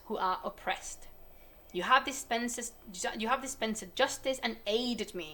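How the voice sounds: A natural reading voice, its pitch varying in an ordinary way.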